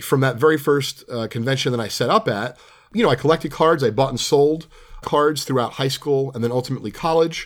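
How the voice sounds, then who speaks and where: This man has a plain, everyday voice, speaking fairly quickly with an American accent at a medium pitch and ordinary pitch variation. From New Jersey. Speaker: podcast host, trading card dealer. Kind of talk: casual monologue. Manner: conversational, filler-heavy.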